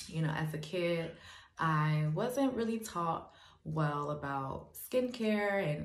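Amid audible room echo, a woman with an American accent talks at a very slow pace in a very deep, low pitch. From Gary, Indiana. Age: 20s. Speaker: beauty school student. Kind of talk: scholarship application video. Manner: hesitant with frequent fillers. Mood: earnest, hopeful. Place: home room. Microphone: phone near.

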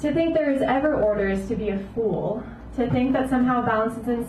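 The speech comes at a very fast pace with ordinary pitch variation. Light background noise and audible room echo are present. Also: woman. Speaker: poet. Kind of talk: spoken-word poetry reading; poetry reading. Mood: intense, reflective. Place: cafe.

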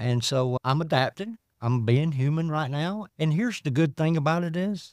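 In a Southern US accent with lively intonation, the speech comes at a fairly slow pace in a very clean recording with a silent background and a dry, close sound with no echo. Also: man. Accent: Southern US (Georgia). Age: 50s. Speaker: former addict sharing recovery story. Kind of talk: testimony.

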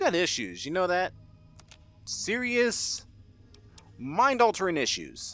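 A man talks at a very slow pace. His speech has long, frequent pauses. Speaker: gaming YouTuber. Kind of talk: gameplay commentary. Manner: casual, chatty.

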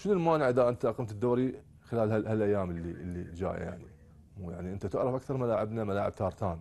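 A man's fairly low voice with a dark, mellow tone, ordinary pitch variation and a fairly quick pace. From Iraq. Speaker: youth football coach. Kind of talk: TV sports talk show interview. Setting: studio. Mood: critical, mildly frustrated. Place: studio.

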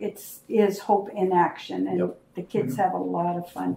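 A woman's medium-pitched voice with ordinary pitch variation, light background noise and audible room echo. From Canada. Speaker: foundation co-founder. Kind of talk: casual reminiscing conversation. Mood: warm, reminiscing. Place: home room.

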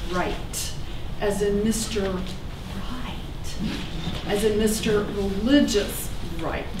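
Over noticeable background noise, a woman talks at a very slow pace. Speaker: storyteller. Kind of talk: staged personal storytelling. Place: stage.

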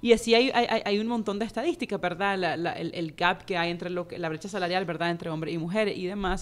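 Hardly pausing at all, a woman talks at a very fast pace with a medium pitch and ordinary pitch variation. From Nicaragua. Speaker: personal finance educator and author; personal finance educator. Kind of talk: interview. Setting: studio. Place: studio. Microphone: studio mic.

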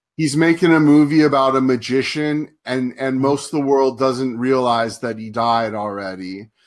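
A man with an American accent and a plain, everyday voice speaks at a moderate pace and medium pitch, with ordinary pitch variation and hardly any pauses. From Southern California, US. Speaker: online show host and film reviewer. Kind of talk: casual interview chat. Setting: live stream broadcast.

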